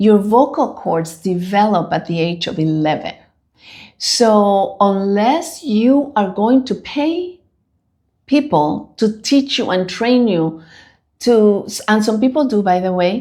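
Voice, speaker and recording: In a very clean recording with a silent background, the speaker talks with a Spanish accent at a very slow pace, the tone dark and mellow and the pitch swinging very widely. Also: woman, medium pitch for a woman. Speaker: bilingual translator. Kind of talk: casual chat.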